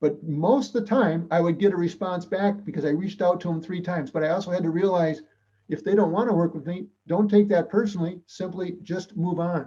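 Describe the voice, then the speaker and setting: A man with an American accent speaks at a fairly quick pace with a high pitch. His tone is dark and mellow, with ordinary pitch variation. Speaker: public speaker and mediator. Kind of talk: talk to a club. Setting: club meeting. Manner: fast; animated.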